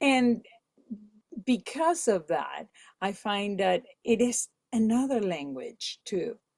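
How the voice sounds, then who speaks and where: Lively intonation marks this woman's speech. She talks with a Spanish accent. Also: very clean recording, silent background. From Venezuela. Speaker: musician, Spanish teacher, voiceover artist. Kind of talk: podcast interview answer. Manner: energetic.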